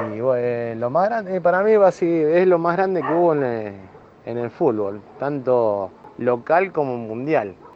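Over music in the background, a man with a fairly high pitch speaks at a fairly slow pace, his pitch swinging very widely. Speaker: football fan. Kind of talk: recorded testimony.

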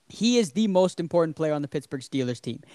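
Here a man talks at a very fast pace with a fairly high pitch. The recording is very clean with a silent background, dry and close with no echo. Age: 20s. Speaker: sports podcast host. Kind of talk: casual chat.

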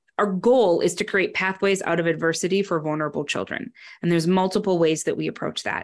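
A woman with an American accent speaks at a very fast pace in a very clean recording with a silent background. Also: medium pitch for a woman, ordinary pitch variation. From northern Wisconsin, US. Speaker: education program director. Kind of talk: interview.

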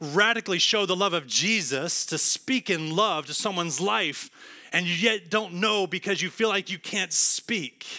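In a raised, projected voice, a man with an American accent speaks at a high pitch and a moderate pace, his tone bright and sharp. His pitch varies in an ordinary way, on a very clean recording with a silent background. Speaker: pastor. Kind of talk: sermon. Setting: church.

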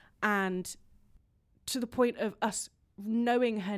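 In a very clean recording with a silent background, a woman talks with fairly even intonation in an English accent. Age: 30s. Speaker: composer. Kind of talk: interview.

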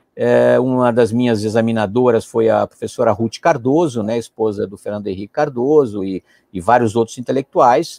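In a dry, close sound with no echo, a man with a dark, mellow tone speaks at medium pitch with ordinary pitch variation. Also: moderate pace. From Brazil, São Paulo. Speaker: diplomat and professor. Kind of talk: interview.

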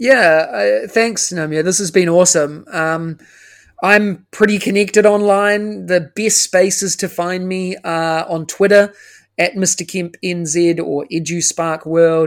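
A high-pitched man with a New Zealand accent at a fairly slow pace, ordinary pitch variation and a very clean recording with a silent background. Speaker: education consultant. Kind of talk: interview.

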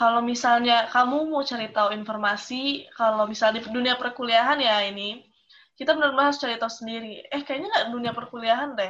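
Bright and sharp in tone, a woman speaks at a high pitch and very fast pace with hardly any pauses and fairly even intonation. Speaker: university student, alumna. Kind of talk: casual chat.

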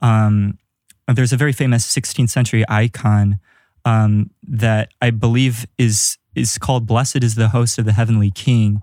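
A man speaks at a moderate pace with a medium pitch and a dark, mellow tone. His intonation stays fairly even, and the sound is dry and close with no echo. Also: very even loudness, very clean recording, silent background. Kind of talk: casual panel discussion.

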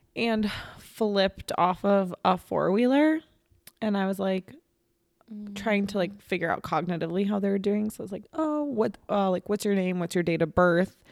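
The woman's voice sits at a medium pitch and varies in an ordinary way. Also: moderate pace. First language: non-English. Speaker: podcast co-host, speech pathologist. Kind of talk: casual chat.

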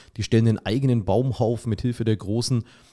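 On a very clean recording with a silent background, a man speaks in a dark, mellow tone with fairly even intonation. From Franconia, Erlangen (Bavaria). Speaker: teacher and sports arena announcer. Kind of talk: casual chat. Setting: studio.

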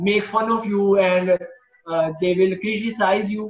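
A man is speaking. His pace is fairly slow. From Pakistan. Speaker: freelance developer and virtual assistant. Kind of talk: interview. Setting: remote call. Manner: halting.

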